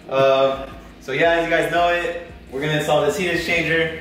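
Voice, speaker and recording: A man speaks at a fairly quick pace, with audible room echo and light background noise around him. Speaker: car vlogger. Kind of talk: casual vlog chat. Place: garage. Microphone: camera far.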